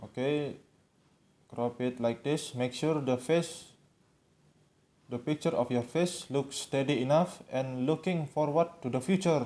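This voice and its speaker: Speaking at a fairly slow pace with long, frequent pauses, a man with a fairly high pitch and a non-native accent has a dark, mellow tone and ordinary pitch variation. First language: not English. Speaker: tutorial video maker. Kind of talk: tutorial. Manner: halting.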